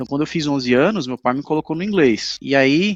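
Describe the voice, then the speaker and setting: A man is speaking. Music plays in the background. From Brazil, Recife. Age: 30s. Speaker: English teacher. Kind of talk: casual interview chat. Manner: halting.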